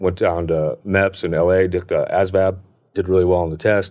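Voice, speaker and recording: A man with an American accent speaks in a very deep, low voice on a very clean recording with a silent background. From Southern California high desert (Hesperia). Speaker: mechanic in addiction recovery. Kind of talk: recovery story interview. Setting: podcast booth. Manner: halting, many false starts.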